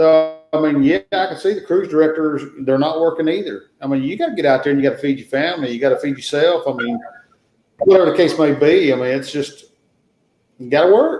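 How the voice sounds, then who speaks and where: In a Southern US accent, a man speaks at a fairly quick pace with a fairly high pitch and ordinary pitch variation. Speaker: travel channel creator, guest. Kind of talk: casual chat.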